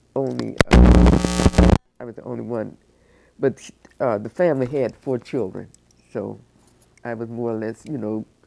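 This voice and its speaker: With music in the background, a woman with an American accent speaks at a moderate pace, her loudness swinging widely between long, frequent pauses. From Cleveland, Ohio. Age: 80s+. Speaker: oral history interviewee. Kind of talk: oral history interview. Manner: halting.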